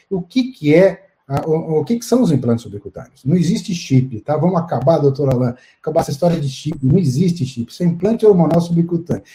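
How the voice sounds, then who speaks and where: This man talks at a fairly quick pace in a fairly high pitch, his intonation lively. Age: 60s. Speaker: urologist. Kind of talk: live-stream interview. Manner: halting.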